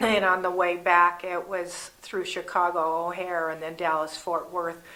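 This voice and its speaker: A woman with an American accent speaks fairly slowly in a fairly low, bright and sharp voice with monotone, flat intonation and audible room echo. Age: 70s. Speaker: vlogger. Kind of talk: casual monologue.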